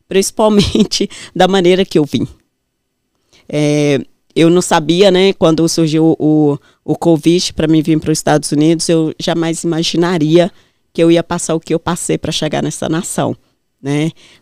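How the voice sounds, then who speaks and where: In a fairly low pitch, a woman speaks at a fairly slow pace with long, frequent pauses and fairly even intonation, her dark, mellow tone captured dry and close with no echo on a very clean recording with a silent background. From northern Minas Gerais, Brazil. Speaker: businesswoman. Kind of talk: interview testimony.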